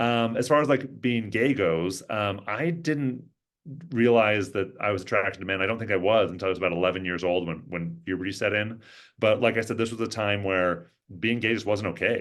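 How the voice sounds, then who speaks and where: Speaking with an American accent at a fairly quick pace, a man uses a fairly low pitch and ordinary pitch variation. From US Pacific Northwest, Everett, Washington. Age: 40s. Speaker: social work professor and therapist. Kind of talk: interview conversation. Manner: many fillers and restarts.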